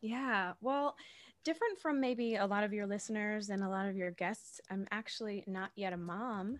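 A plain, everyday voice: a woman at medium pitch, with ordinary pitch variation and a moderate pace. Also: very clean recording, silent background. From Massachusetts, south of Boston. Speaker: actor and podcast host. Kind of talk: casual interview chat.

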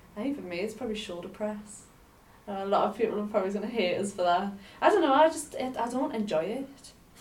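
Against noticeable background noise, a woman speaks very fast at a fairly high pitch with lively intonation. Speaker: podcast co-host. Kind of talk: casual chat.

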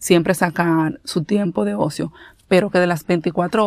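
On a very clean recording with a silent background, a woman with a normal speaking voice speaks at a fairly low pitch with ordinary pitch variation. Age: 30s. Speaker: podcast host. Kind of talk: casual solo talk.

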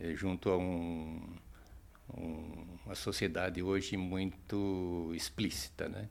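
This man has a very deep, low pitch. He talks at a very slow pace with fairly even intonation. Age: 60s. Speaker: meditation practitioner. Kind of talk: interview. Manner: hesitant with fillers.

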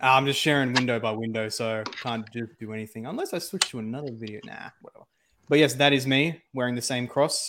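A man with an Australian accent at medium pitch, a bright, sharp tone, ordinary pitch variation, big swings in loudness and a fairly quick pace. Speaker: co-streamer. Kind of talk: casual chat.

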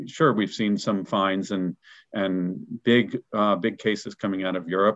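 A man with a fairly low pitch at a moderate pace. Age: 50s. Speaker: professional association business development director. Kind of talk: interview conversation. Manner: halting with frequent repetitions.

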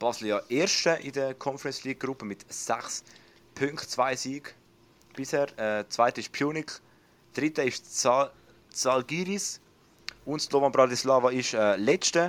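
A man speaks at a fairly slow pace with long, frequent pauses, his medium pitch showing ordinary variation. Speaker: podcast host. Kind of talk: casual chat.

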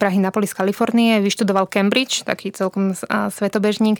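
Her medium-pitched voice stays monotone and flat, and the sound is dry and close with no echo. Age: 20s. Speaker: journalist and book co-author. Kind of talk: interview conversation.

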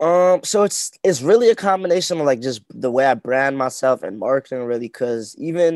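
With a normal speaking voice, a man talks at a fairly quick pace with ordinary pitch variation, in a dry, close sound with no echo on a very clean recording with a silent background. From Winnipeg, Canada. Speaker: rapper. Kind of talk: casual chat.

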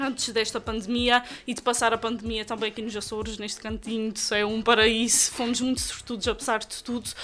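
A woman talks at a fairly quick pace in a fairly high pitch. Her tone is bright and sharp, and her intonation stays monotone and flat. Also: hardly any pauses. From Azores, Terceira island. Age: 20s. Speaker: journalist and TV presenter. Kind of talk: casual interview. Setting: recorded in a shop.

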